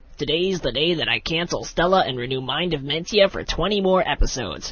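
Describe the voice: A man speaks in a cartoonish character voice, pitched high. His pace is fairly quick.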